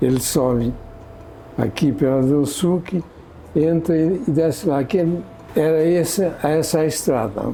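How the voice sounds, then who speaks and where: Against noticeable background noise, a man with a fairly high pitch speaks at a fairly slow pace, with ordinary pitch variation, very even loudness and long, frequent pauses. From Portugal, raised in São Paulo state from age 9. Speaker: longtime local resident. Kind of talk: interview testimony.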